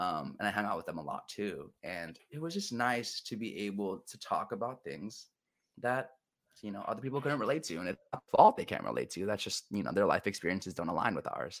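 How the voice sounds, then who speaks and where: Talking at a fairly quick pace, a man with an American accent and a fairly low pitch uses lively intonation. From Southern California (Orange County). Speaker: behavioral therapist. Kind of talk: casual chat. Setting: video call. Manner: halting.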